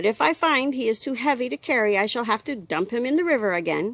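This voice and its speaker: A woman uses a put-on character voice at a fairly high pitch. She talks at a very fast pace. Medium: read story. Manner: brisk, matter-of-fact.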